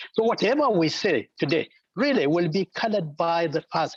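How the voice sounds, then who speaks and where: A man speaks with lively intonation in a dry, close sound with no echo. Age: 70s. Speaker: engineer, panel participant. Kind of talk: online panel discussion.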